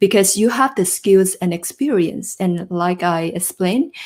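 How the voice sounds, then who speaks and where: In a very clean recording with a silent background, a woman with a non-native accent speaks fairly slowly at medium pitch. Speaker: job search coach. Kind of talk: live stream talk to viewers. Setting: live stream.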